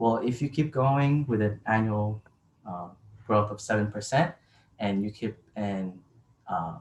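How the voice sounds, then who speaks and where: Slow-paced and somewhat breathy, a man with a fairly low pitch speaks with long, frequent pauses. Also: ordinary pitch variation. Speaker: college student. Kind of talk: informative class speech.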